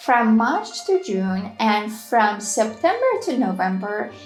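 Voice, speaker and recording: Music plays in the background as a woman with a fairly high pitch speaks at a very slow pace with lively intonation. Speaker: language teacher. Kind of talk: travel guide narration. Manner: upbeat.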